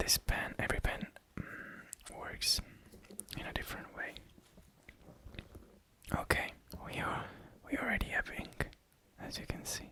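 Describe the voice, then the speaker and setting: Whispering at a fairly slow pace with long, frequent pauses, the speaker is heard over noticeable background noise. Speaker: ASMR creator. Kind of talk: ASMR show and tell. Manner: soft-spoken.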